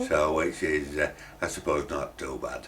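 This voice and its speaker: A man is speaking. He has a Yorkshire accent. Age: 70s. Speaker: furniture shop owner. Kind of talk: interview. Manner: halting.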